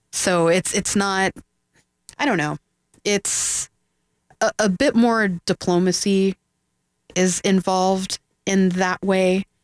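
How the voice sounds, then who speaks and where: In a dry, close sound with no echo on a very clean recording with a silent background, a woman speaks at medium pitch at a very slow pace, with long, frequent pauses and very even loudness. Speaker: filmmaker. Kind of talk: casual radio interview. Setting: radio studio.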